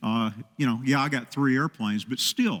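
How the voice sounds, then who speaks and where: Through a dry, close sound with no echo, a man speaks at a medium pitch and moderate pace with vocal fry. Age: 60s. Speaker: pilot and relief organizer. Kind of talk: interview on a TV talk show. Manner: halting with many fillers.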